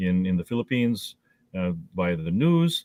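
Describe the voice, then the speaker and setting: A man speaks with a Midwestern accent in a fairly low pitch. His pitch varies in an ordinary way. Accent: American Midwest. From northeastern Ohio, US. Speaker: mayor and attorney. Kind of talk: interview. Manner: halting, many repetitions.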